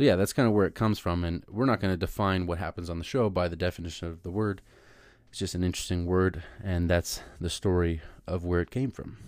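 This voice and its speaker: With a Californian accent, the speaker talks very fast with ordinary pitch variation on a very clean recording with a silent background. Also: man, very deep, low pitch for a man. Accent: Californian American English. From Southern California. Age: 20s. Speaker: podcast host. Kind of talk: solo podcast monologue. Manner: casual. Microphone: new microphone.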